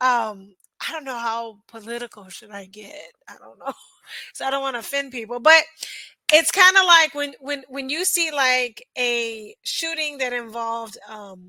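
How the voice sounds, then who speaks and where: Loud and projected with big swings in loudness, a woman's high, bright, sharp voice carries an American accent and lively intonation at a fairly slow pace. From United States. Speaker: reaction video host. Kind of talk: casual reaction commentary. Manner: hesitant, with fillers.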